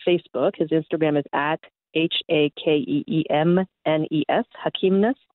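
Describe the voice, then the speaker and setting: This woman has a plain, everyday voice, fairly low in pitch with ordinary pitch variation, and speaks with a Canadian accent. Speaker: comedian. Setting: phone call.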